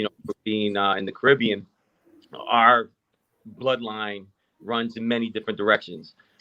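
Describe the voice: A man speaks at a fairly low pitch and a moderate pace. His tone is bright and sharp, and his intonation is fairly even.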